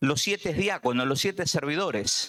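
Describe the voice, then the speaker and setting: With a Buenos Aires accent, a man speaks at a fairly slow pace with very wide pitch swings. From Argentina, Buenos Aires. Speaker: preacher. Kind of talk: sermon. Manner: halting, many fillers.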